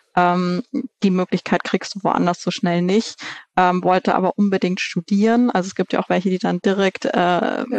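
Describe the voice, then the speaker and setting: A woman talks at a moderate pace with fairly even intonation, medium pitch and very even loudness, in a plain, everyday voice. The sound is dry and close with no echo, and the background is quiet. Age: 30s. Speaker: managing director of a family organic food company. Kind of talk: interview.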